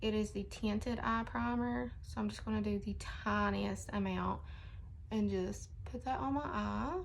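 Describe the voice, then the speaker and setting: A woman at a fairly slow pace with very even loudness and audible room echo. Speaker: beauty vlogger. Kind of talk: casual makeup tutorial vlog. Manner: chatty, casual.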